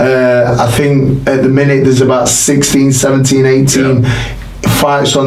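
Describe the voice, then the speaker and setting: A man talks with monotone, flat intonation, and audible room echo surrounds his voice. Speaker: boxing trainer. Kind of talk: interview answer. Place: studio.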